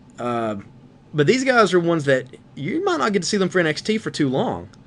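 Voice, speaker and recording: A man with a high voice talks at a fairly quick pace, his pitch swinging very widely. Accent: Southern US. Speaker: wrestling podcast co-host. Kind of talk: casual chat.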